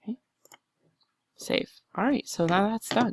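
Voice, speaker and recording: A woman talks at a moderate pace, the sound dry with no echo. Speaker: embroidery software tutorial maker. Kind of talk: tutorial. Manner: casual, chatty. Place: home room. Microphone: headset.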